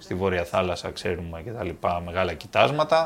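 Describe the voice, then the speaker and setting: Speaking with lively intonation, a man has a fairly low pitch and a normal speaking voice. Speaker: film podcast host. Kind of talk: casual chat.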